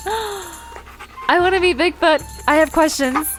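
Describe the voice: In a put-on character voice, a woman speaks slowly at an extremely high pitch, her tone fairly bright and her pitch variation ordinary, with faint music in the background.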